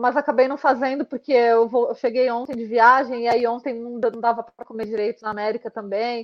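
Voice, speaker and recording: This woman's voice sits high in pitch. Her intonation stays fairly even. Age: 30s. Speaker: marathon runner. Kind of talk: casual chat.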